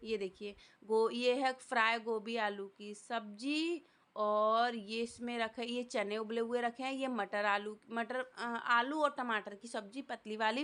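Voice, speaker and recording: Very slow speech comes from a woman at fairly high pitch. Her intonation stays fairly even. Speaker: family vlogger. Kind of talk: vlog narration. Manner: casual, halting.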